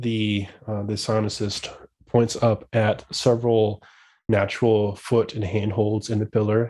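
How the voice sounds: Natural voice for reading aloud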